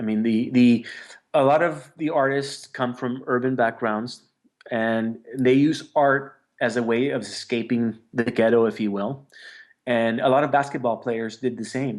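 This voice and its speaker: At a fairly slow pace, a man with a medium pitch speaks in an unremarkable speaking voice with fairly even intonation. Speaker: street artist. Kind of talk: interview answer.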